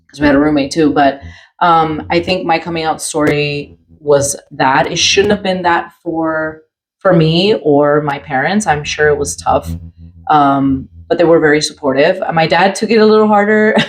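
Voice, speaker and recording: Speaking at a moderate pace, a woman with a very deep, low voice shows ordinary pitch variation. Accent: American. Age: 40s. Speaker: podcast co-host. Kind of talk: casual chat.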